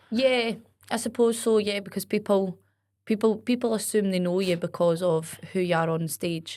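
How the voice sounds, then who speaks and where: A woman talks with ordinary pitch variation, the recording very clean and the background silent. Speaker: performer and festival host. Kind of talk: casual chat. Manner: fast and loud; animated, bubbly.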